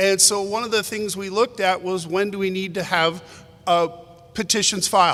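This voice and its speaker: A loud, high-pitched man's voice with monotone, flat intonation over noticeable background noise. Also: moderate pace. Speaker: prosecutor. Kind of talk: panel presentation.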